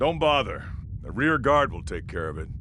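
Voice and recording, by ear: Over clear background noise, a man uses a cartoonish character voice at a moderate pace.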